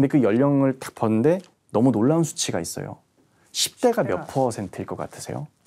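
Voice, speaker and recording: A man talking at a fairly quick pace, with big swings in loudness. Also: lively intonation. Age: young. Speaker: history writer; history writer lecturer. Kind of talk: lecture. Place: studio. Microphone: lapel.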